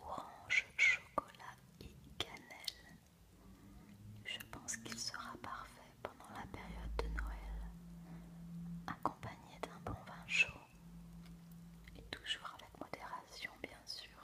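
Whispering at a very slow pace, broken by long, frequent pauses. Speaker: ASMR creator. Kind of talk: ASMR book presentation, soft-spoken talk to camera. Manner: soft-spoken, whispering. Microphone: studio mic.

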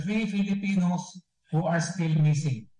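Fairly even intonation comes through with audible room echo over a quiet background. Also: man. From Philippines. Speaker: ambassador. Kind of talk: press briefing statement. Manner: formal. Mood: solemn, somber. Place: office. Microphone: video call.

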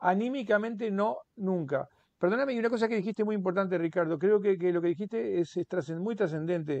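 A high-pitched man with ordinary pitch variation, dry with no echo, before a quiet background. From Uruguay. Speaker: author; interviewee. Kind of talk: interview. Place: home room. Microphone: earbuds.

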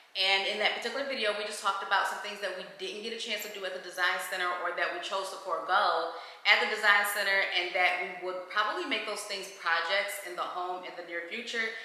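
Recorded with audible room echo, a woman talks at a very fast pace with hardly any pauses and fairly even intonation. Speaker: home vlogger. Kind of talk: casual vlog chat. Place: home room. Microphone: camera far.

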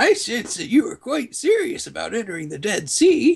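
Loudness swings widely as a man talks at a moderate pace. His pitch is extremely high and moves through very wide swings. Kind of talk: comic overacting of game dialogue. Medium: game stream. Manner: gruff, reluctant, then wistful.

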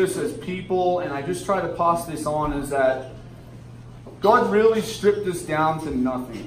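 With audible room echo and light background noise, a man speaks at a moderate pace with lively intonation. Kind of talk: emotional speech to audience. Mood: earnest, emotional. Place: bar. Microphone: camera far.

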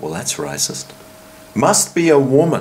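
Here a man speaks at a very slow pace. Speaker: vlogger. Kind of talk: casual vlog chat. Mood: joking, sarcastic. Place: home room. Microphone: phone near.

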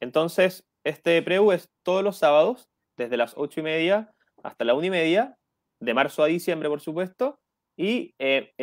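With a high pitch and lively intonation, a man talks at a moderate pace in a dry recording with no echo and a quiet background. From Chile. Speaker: education program coordinator. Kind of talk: radio interview. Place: home room. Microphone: earbuds.

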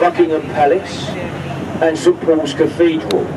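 A man talks at a moderate pace. Noticeable background noise can be heard. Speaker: boat tour guide. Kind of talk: tour commentary. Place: boat.

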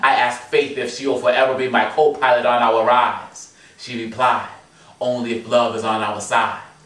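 A man speaks at a moderate pace with audible room echo. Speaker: spoken word poet. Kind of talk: spoken word poetry performance. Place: home room. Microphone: camera far.

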